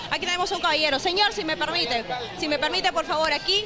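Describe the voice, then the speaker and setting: Crowd noise fills the background. The voice is raised and projected, moving at a very fast pace. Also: woman. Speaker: TV field reporter. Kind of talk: live news report. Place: street. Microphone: handheld.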